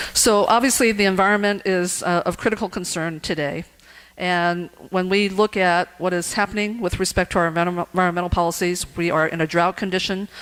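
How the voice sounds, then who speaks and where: On a very clean recording with a silent background, a woman talks at a fairly quick pace, her fairly low pitch held in fairly even intonation. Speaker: political candidate. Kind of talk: candidate forum Q&A. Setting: club meeting room. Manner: fast.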